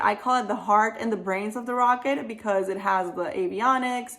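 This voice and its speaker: Enthusiastic woman in a Spanish accent, fairly high in pitch with ordinary variation. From Venezuela. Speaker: aerospace engineer. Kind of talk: career advice Q&A monologue.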